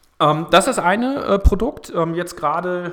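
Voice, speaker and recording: A man speaks at a moderate pace, his pitch varying in an ordinary way, with noticeable background noise behind him. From northern Germany, Kiel. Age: 40s. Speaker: energy startup managing director. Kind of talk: casual interview. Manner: hesitant, many filler sounds.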